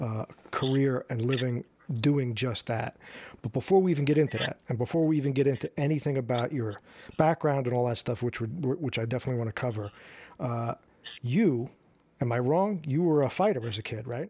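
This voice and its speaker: The recording is very clean with a silent background. A man speaks at a medium pitch in a dark, mellow tone. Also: ordinary pitch variation, fairly quick pace. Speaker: podcast host, filmmaker and actor. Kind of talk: casual interview. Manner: stutters.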